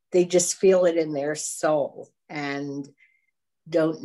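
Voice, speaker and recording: Very slow speech from a woman with a very deep, low pitch and fairly even intonation. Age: 70s. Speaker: congregation member. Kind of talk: personal sharing in a group.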